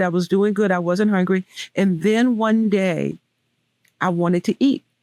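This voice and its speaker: In a Southern US accent, the speaker holds a fairly even intonation, with a dry, close sound and no echo. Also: woman. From US South. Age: 60s. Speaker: weight loss speaker. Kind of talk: interview testimony.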